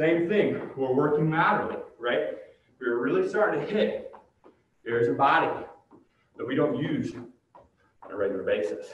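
A man speaks at a moderate pace with long, frequent pauses. Light background noise and audible room echo fill the recording. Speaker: fitness director and workout instructor. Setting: home or gym workout video recorded to camera, with a ladder behind him. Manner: friendly and conversational, calling the viewers 'guys' and cheering them on. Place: gym. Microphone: camera far.

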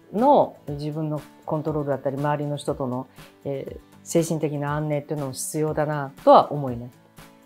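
A woman with a very deep, low pitch speaks at a moderate pace over faint music in the background. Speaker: interviewee. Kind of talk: interview answer. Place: office. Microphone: lapel.

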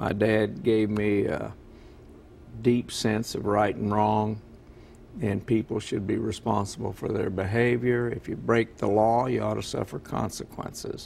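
Over light background noise, a man talks at a fairly slow pace with monotone, flat intonation. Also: fairly low pitch for a man. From military family, moved around; grew up largely in Kentucky. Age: 70s. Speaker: retiring county prosecutor; interview guest. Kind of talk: TV interview. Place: studio.

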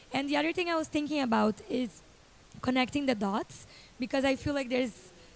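A woman speaks in a high pitch with ordinary pitch variation. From Brazil. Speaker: youth climate activist, nonprofit founder; panelist. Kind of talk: panel discussion. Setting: stage with audience. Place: stage. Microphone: handheld.

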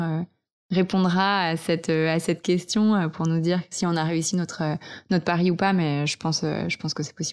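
A woman with a normal speaking voice talks at a fairly slow pace, her fairly low pitch held in fairly even intonation. The recording is very clean, the background silent. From French Alps, Vercors. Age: 20s. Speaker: eco entrepreneur and author. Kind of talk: casual interview. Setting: host's living room.

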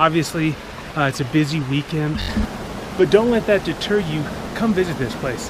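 The man talks at a moderate pace. His voice sounds dry with no echo, though noticeable background noise is present. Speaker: travel vlogger. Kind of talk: casual vlog chat. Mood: upbeat, enthusiastic. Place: forest. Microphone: phone near.

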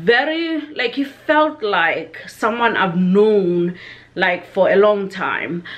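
The woman's delivery is very slow. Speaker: vlogger. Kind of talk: casual vlog chat. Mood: warm, reminiscing tribute. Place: home room. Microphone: webcam.

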